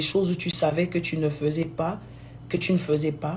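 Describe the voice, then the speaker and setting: A somewhat breathy woman's voice with audible room echo. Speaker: gospel singer. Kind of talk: live video talk. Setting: live stream.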